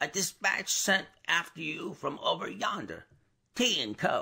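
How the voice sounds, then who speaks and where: A man puts on a hoarse character voice. He delivers it at a fairly slow pace. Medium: read story.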